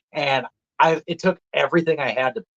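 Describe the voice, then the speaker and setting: A man with a strong Minnesota accent, in a dry, close sound with no echo. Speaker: deer hunter. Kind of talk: casual chat. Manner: animated.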